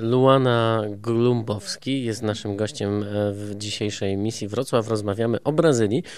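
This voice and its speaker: Speaking very slowly with hardly any pauses, a man with a Polish accent keeps a medium pitch and fairly even intonation. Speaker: radio host. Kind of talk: radio interview. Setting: studio.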